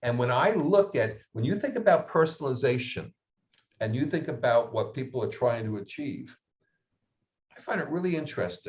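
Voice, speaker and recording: A man speaks at a moderate pace in a somewhat breathy voice. His fairly high pitch moves in very wide swings. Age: 70s. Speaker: research firm head, panelist. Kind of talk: webinar panel discussion.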